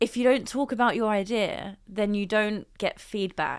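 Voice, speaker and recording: A woman speaks with an English accent at a moderate pace. The recording is very clean, with a silent background. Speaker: business founder. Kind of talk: interview. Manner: measured, pauses before answering.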